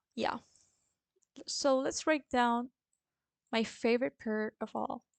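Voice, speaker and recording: Very slowly and in a Spanish accent, a woman speaks at a high pitch with ordinary pitch variation, the sound dry and close with no echo. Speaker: forex trader and trading educator. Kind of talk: tutorial.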